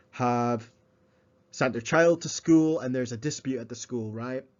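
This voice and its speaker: A man is speaking at a medium pitch. His pace is moderate. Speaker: educational video presenter. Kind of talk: slide-based lecture. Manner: halting, many fillers and repetitions; mumbling.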